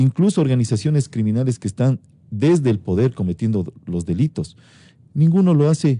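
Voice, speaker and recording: A man's medium-pitched voice, dark and mellow in tone, with very wide pitch swings, in a dry, close sound with no echo. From Ecuador. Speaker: interviewed prosecutor general. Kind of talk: radio interview answer.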